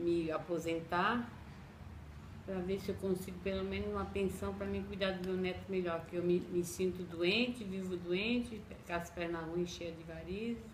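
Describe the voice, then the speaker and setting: With noticeable background noise and audible room echo, a woman of fairly low pitch speaks at a moderate pace with ordinary pitch variation. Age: 60s. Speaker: domestic worker. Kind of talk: interview testimony.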